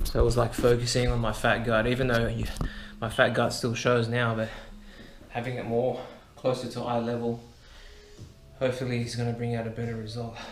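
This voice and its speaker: With music in the background and audible room echo, a man speaks quietly at a fairly quick pace in a monotone, flat intonation, leaving long, frequent pauses. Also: medium pitch for a man. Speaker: fitness vlogger. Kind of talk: workout vlog commentary. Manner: quiet, kept down.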